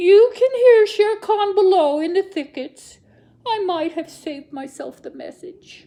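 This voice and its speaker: A woman's put-on character voice at an extremely high pitch, with lively intonation, big swings in loudness and a fairly slow pace. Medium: read story. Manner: fawning, wheedling.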